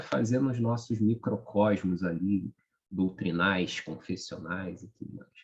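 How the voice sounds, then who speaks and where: A soft-spoken man talks. His pace is fairly slow. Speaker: study group leader. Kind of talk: group discussion wrap-up.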